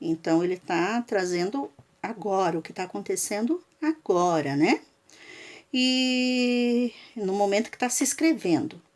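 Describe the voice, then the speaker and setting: A woman with a fairly high pitch speaks at a very slow pace, with very wide pitch swings and big swings in loudness. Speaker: school teacher. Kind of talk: lecture. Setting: recorded video lesson for remote students.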